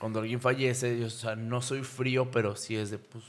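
A man talks at a medium pitch. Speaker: podcast host. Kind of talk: casual chat.

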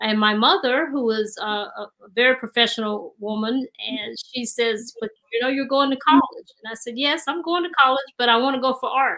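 This woman has a high pitch and a bright, sharp tone, with an American accent. Her voice is raised and projected. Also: ordinary pitch variation, moderate pace. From North Carolina, Duplin County. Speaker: artist and retired school principal. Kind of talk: interview.

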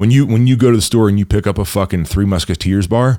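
In a normal speaking voice with a fairly low pitch, a man talks at a fairly quick pace with lively intonation, the sound dry and close with no echo, on a very clean recording with a silent background. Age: 30s. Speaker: entrepreneur and fitness coach. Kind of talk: casual interview chat.

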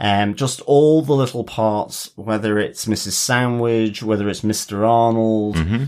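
Fairly slow and with fairly even intonation, the delivery comes in an unremarkable speaking voice. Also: man, medium pitch for a man. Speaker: podcast co-host. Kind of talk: casual chat.

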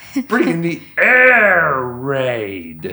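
Someone puts on a character voice pitched in the low-to-middle range. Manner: impression.

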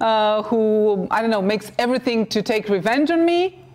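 A woman speaks at a fairly high pitch in a Romanian accent. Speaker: TV talk show host. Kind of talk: interview. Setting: TV studio.

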